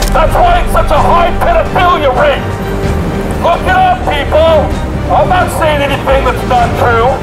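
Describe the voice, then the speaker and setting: Loud music plays behind a man who speaks at a fairly slow pace with long, frequent pauses. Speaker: street preacher. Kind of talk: open-air street preaching, shouted rebuke. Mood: angry rebuke. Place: street. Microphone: handheld.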